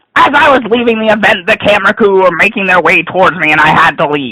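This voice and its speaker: A man speaks in a raised, projected voice. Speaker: gaming blogger reviewing an event. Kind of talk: dramatic reading of a rant. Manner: ranting, sarcastic, annoyed.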